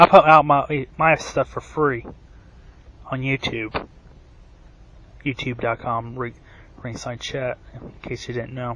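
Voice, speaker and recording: With a bright, sharp tone and medium pitch, a man speaks at a very slow pace, with long, frequent pauses, big swings in loudness, and fairly even intonation. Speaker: wrestling commentary youtuber. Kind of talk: rant.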